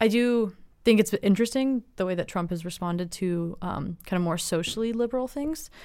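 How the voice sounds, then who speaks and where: A woman speaks at a fairly quick pace in an American accent, her tone dark and mellow with lively intonation. The recording is very clean, with a silent background. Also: medium pitch for a woman. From US West Coast, Los Angeles. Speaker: student. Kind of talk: roundtable discussion.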